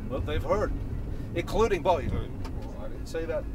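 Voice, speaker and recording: The sound is dry, with no echo. A man speaks over noticeable background noise. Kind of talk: casual vlog chat. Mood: relaxed reminiscing. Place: car. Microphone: phone near.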